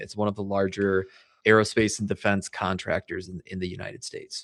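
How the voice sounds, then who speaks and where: Here a man talks at a fairly quick pace. The background is quiet. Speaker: financial advisor, podcaster. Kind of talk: casual interview. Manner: fast.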